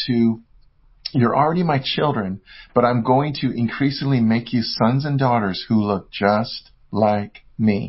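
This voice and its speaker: A man with an American accent talks at a medium pitch, sounding somewhat breathy. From US West Coast. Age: 50s. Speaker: author and speaker. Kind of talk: casual interview chat.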